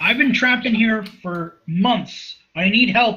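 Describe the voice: This put-on character voice is raspy and fairly high-pitched, moving at a fairly slow pace.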